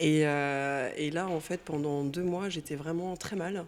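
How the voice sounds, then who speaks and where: A woman's fairly low voice carries fairly even intonation. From Brittany, France. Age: 40s. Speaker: painter, former teacher. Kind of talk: interview, personal testimony. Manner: casual, hesitant with fillers.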